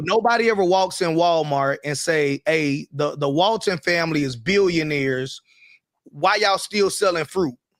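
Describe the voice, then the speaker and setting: With an American accent, a man speaks in a high pitch at a moderate pace with ordinary pitch variation, the sound dry and close with no echo. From US South, the Carolinas. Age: 30s. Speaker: entrepreneur and online business show co-host. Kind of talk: casual live-stream discussion.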